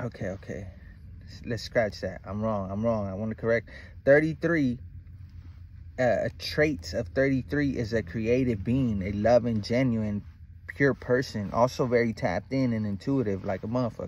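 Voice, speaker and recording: This man speaks at a moderate pace with ordinary pitch variation. His loudness swings widely. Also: dry sound with no echo. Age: 30s. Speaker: spiritual vlogger. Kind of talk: casual monologue. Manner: animated. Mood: relaxed, reflective, confident.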